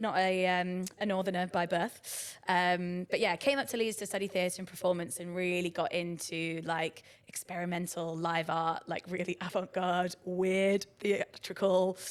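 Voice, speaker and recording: A woman talks with hardly any pauses at a medium pitch. Her intonation is monotone and flat. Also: moderate pace. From southern England, Brighton. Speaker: arts director. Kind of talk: podcast interview. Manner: casual, many fillers (um, like).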